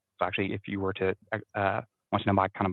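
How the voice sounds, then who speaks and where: The speaker is a man with a fairly low pitch. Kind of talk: casual discussion. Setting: at work, online call. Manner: fast, not loud.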